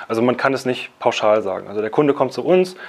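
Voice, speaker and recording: Fairly quick pace from a man, pitch varying in an ordinary way. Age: 30s. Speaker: company founder and CEO. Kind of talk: casual interview. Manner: halting, many fillers.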